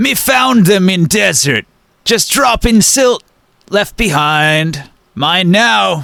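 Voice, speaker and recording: A put-on character voice speaks at a very slow pace. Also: man, high pitch for a man. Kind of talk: broken simple speech. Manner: unconvincing, shrugging.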